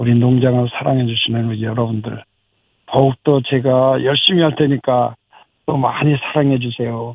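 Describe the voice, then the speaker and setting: The man has an ordinary speaking voice at a medium pitch. He keeps a moderate pace and fairly even intonation. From South Korea, Anseong (Gyeonggi). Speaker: farmer. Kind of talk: radio interview; new year greeting to listeners.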